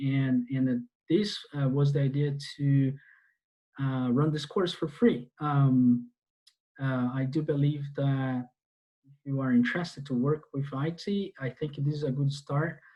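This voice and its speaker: Speaking fairly slowly with a Portuguese accent, a man uses a fairly high, somewhat breathy voice with fairly even intonation. Behind him the background is quiet. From Brazil. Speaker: database instructor. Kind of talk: online class lecture. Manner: halting, many fillers. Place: home room. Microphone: earbuds.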